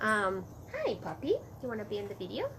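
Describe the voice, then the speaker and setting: A woman's moderate pace against noticeable background noise. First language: Spanish. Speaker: early childhood school director. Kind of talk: casual vlog talk. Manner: many fillers, hesitant.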